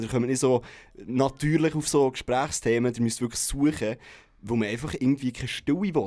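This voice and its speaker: Here a man with an unremarkable speaking voice talks at a fairly quick pace and medium pitch with fairly even intonation. The recording is very clean with a silent background. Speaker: radio morning show presenter. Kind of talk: casual chat.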